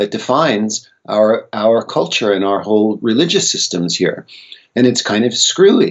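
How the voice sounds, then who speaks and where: A man with an American accent speaks at a moderate pace and a medium pitch. He has a plain, everyday voice with ordinary pitch variation. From United States. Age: 60s. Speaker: psychedelic researcher and author. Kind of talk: interview conversation.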